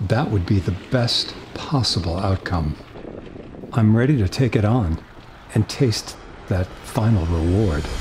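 Fairly slow, fairly low-pitched male speech with long, frequent pauses over noticeable background noise. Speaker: interviewee. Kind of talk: interview answer. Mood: determined, hopeful. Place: studio.

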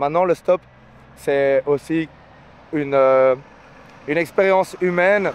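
A man talks with ordinary pitch variation. There is no echo, so the sound is dry. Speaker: travel vlogger hitchhiking. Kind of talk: casual vlog chat. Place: street. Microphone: phone near.

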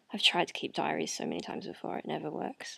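A woman speaks in a soft-spoken way. The background is quiet. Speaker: video blogger. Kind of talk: casual vlog chat. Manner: soft, low late-night talk in bed. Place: home room. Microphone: webcam.

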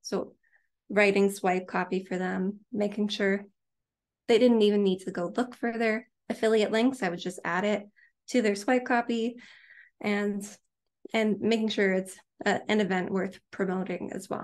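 Speaking at a moderate pace with long, frequent pauses, a woman has a Canadian accent. Her pitch is medium and her intonation fairly even. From Canada. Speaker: author; guest. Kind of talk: interview. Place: home room. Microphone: studio mic.

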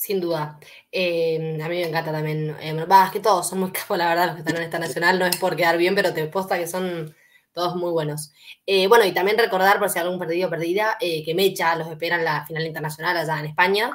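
Quiet background, a woman's fairly low voice, fairly even intonation and a fairly quick pace. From Mendoza, Argentina. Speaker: interviewer. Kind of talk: interview. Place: home room.

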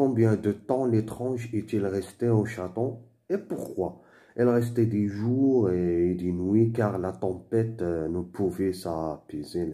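A dark, mellow tone at a very slow pace with ordinary pitch variation. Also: man, fairly low pitch for a man. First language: Moroccan Arabic (Darija) (speaking French). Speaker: French teacher / tutor. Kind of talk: tutorial. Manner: halting.

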